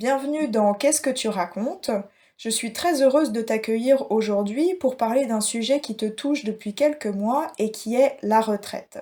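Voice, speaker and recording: On a very clean recording with a silent background, a woman speaks fairly slowly with hardly any pauses. Her fairly high voice has a dark, mellow tone, ordinary pitch variation and big swings in loudness. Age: 20s. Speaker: podcast host. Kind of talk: interview.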